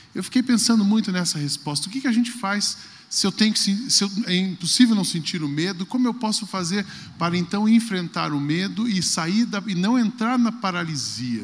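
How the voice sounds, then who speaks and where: A man's high-pitched voice moves at a moderate pace with ordinary pitch variation. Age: 40s. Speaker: pastor. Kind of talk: talk on stage.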